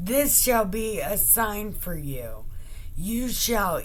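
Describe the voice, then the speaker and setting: A woman uses a put-on character voice at a very slow pace over clear background noise. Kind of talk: comic Bible reading. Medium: solo performance. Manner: commanding, taunting.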